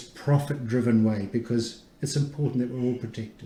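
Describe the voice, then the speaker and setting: With audible room echo, a man speaks at a fairly quick pace and medium pitch, somewhat breathy and with fairly even intonation. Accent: New Zealand. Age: 60s. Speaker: immunologist, research institute director. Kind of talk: radio interview. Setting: radio studio.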